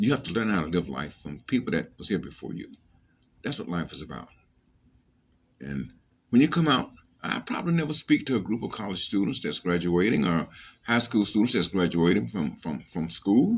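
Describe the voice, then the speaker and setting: With vocal fry and very wide pitch swings, a man speaks at a fairly quick pace and fairly low pitch, leaving long, frequent pauses. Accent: American. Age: 70s. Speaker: leadership trainer. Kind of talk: motivational talk. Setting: social media video. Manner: halting, many repetitions.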